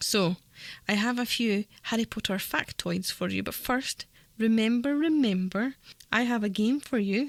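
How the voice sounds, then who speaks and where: With an unremarkable speaking voice, a woman talks at a moderate pace in a fairly high pitch with ordinary pitch variation, recorded very cleanly against a silent background with a dry, close sound and no echo. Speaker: radio presenter. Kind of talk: community radio presenting. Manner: upbeat, cheerful.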